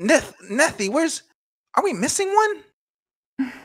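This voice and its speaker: A man speaks in a put-on character voice with extremely high pitch. His pitch swings very widely at a fairly slow pace. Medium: actual play. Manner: excitable.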